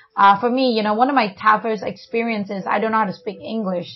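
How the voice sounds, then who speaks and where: A woman talks at a fairly quick pace in a somewhat breathy, fairly high voice with fairly even intonation. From China. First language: Chinese. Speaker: family podcast co-host. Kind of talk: casual chat.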